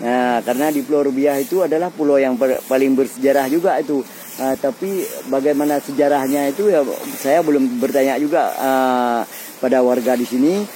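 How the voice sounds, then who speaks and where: Over noticeable background noise, a man talks at a fairly quick pace with a fairly high pitch, ordinary pitch variation, and very even loudness. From Aceh, Indonesia. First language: Acehnese (speaking Indonesian). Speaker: TV presenter. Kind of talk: on-location travel report. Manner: halting, many fillers.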